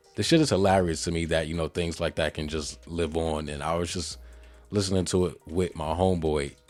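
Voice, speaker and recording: Music plays in the background as the speaker talks at a fairly quick pace in an American accent. The intonation stays fairly even. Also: man, very deep, low pitch for a man. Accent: slight Jamaican and New York. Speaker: podcast host. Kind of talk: casual solo podcast commentary. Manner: casual, conversational.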